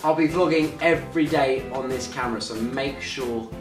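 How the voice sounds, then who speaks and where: A man talks while clear music is heard in the background. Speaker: vlogger. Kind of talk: casual vlog chat. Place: home room. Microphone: camera far.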